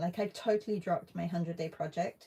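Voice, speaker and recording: Her voice is dark and mellow, somewhat breathy, at medium pitch with ordinary pitch variation. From UK. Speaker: artist. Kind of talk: live stream art session chat. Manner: casual, hesitant with fillers.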